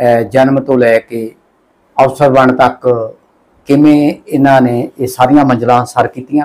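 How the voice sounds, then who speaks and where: A man with a medium-pitched voice and a dark, mellow tone speaks in fairly even intonation. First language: Punjabi (speaking Hindi). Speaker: online news host. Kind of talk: interview.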